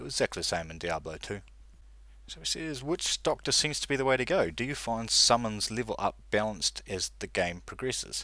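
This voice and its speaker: Bright and sharp in tone, a man speaks at a fairly quick pace with lively intonation in a very clean recording with a silent background. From New Zealand. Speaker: gaming YouTuber. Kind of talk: answering viewer mail, casual.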